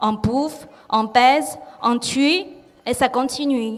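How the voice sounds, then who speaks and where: A woman speaks loud and high with a Chinese accent. Her intonation is lively. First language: Chinese (speaking French). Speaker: artist. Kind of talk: reading aloud. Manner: careful articulation.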